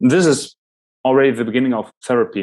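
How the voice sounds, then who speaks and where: Over a quiet background, a man talks at a fairly high pitch with ordinary pitch variation. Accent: German. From Germany. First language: German. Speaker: podcast host and presenter on Jungian psychology. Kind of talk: lecture.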